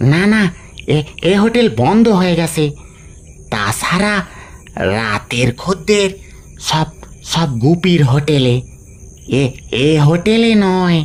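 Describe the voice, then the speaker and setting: In a put-on character voice, a man speaks very slowly with a fairly high, shaky pitch and very wide pitch swings. His loudness stays very even over light background noise. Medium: read story. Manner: stammering.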